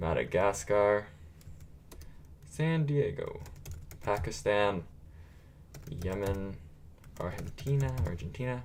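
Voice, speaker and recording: Room echo is audible as a man speaks very slowly with long, frequent pauses. His pitch swings very widely. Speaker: gaming streamer. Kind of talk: live stream commentary. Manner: casual, filler-heavy.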